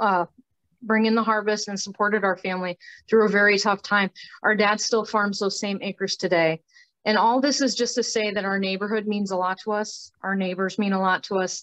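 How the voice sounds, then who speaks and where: Against a quiet background with a dry, close sound and no echo, a woman in an Upper Midwest accent speaks at a fairly quick pace and medium pitch with monotone, flat intonation. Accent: Upper Midwest American. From northeast Iowa (Howard County). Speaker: community activist. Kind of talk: presentation with slides.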